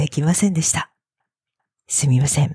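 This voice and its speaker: A woman speaks with a very deep, low voice, ordinary pitch variation and a dark, mellow tone, somewhat breathy and recorded dry and close with no echo. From Japan, Fukuoka. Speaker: Japanese language teacher podcaster. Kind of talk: language lesson monologue. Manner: slow.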